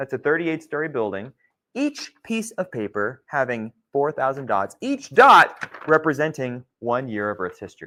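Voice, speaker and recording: A loud voice with a bright, sharp tone swings very widely in pitch at a moderate pace, in a very clean recording with a silent background. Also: man, fairly high pitch for a man. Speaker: geology instructor. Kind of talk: lecture.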